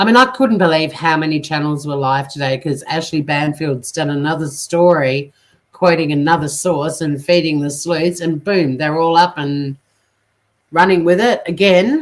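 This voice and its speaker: With an Australian accent, a woman speaks at a moderate pace in a very deep, low voice with ordinary pitch variation. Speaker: true crime YouTuber. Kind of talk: casual live stream talk to viewers.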